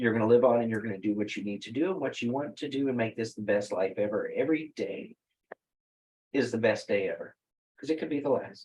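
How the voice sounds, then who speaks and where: A man with a Texas accent at a very fast pace. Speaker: wellness company founder. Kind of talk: interview conversation.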